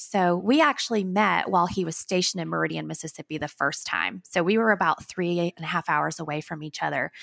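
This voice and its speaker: A woman with a Southern US accent talks at a fairly quick pace, her pitch fairly low and varied in an ordinary way. The recording is very clean with a silent background and a dry, close sound with no echo. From northern Alabama. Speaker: nonprofit founder and social media manager. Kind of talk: casual interview.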